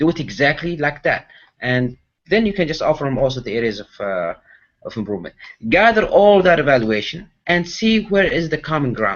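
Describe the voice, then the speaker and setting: Fairly high-pitched man's voice, fairly quick, with very wide pitch swings. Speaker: public speaking champion. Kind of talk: interview. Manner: fast. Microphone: connection issues.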